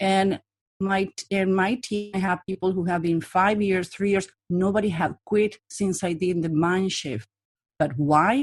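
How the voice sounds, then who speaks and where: A woman speaks at a fairly slow pace with ordinary pitch variation, the sound dry and close with no echo. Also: medium pitch for a woman. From Latin America. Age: 40s. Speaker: body language profiler and trainer. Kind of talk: interview. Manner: direct.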